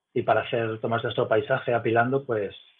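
This man has an ordinary speaking voice at medium pitch. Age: 40s. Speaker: amateur astrophotographer. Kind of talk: casual interview.

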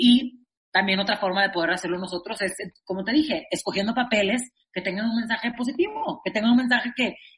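This woman talks at a very fast pace. Her intonation is lively. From Monterrey, northern Mexico. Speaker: actress and singer. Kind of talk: interview conversation. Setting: remote recording.

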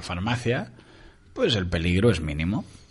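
A man speaks in a very deep, low voice. Room echo is audible. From Uruguay, Montevideo. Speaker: radio host. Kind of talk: casual chat.

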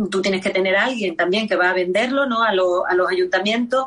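A woman speaks at a fairly quick pace with ordinary pitch variation against noticeable background noise. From Extremadura, Spain. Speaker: copla singer and music teacher. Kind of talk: radio interview.

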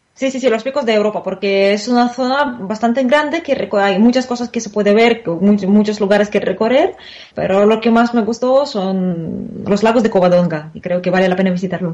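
Speaking with a Russian accent at a moderate pace, a woman uses a fairly high pitch with ordinary variation. She barely pauses. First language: Russian (speaking Spanish). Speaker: Spanish teacher. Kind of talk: interview.

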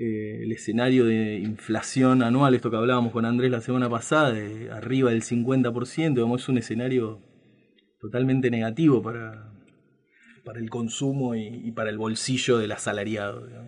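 Big swings in loudness mark this man's speech, though his intonation stays monotone and flat. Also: medium pitch for a man, moderate pace. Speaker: radio host. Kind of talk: casual radio talk.

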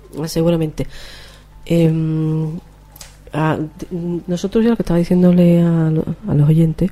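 A woman's fairly low-pitched voice with long, frequent pauses against noticeable background noise. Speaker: flamenco singer and radio host. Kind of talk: casual radio chat.

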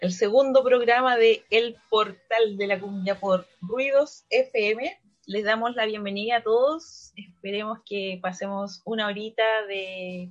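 A woman speaks very slowly. Her pitch is fairly high. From Valparaíso, Chile. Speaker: radio host. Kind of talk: casual radio chat.

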